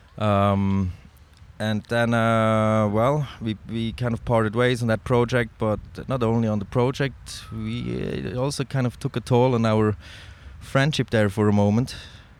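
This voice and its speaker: Speaking with a Swiss German accent, a man talks at a fairly slow pace in a medium pitch with ordinary variation. The recording is very clean, with a silent background. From Switzerland (Zurich). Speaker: snowboard filmmaker and photographer. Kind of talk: casual interview. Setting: in person in Zurich.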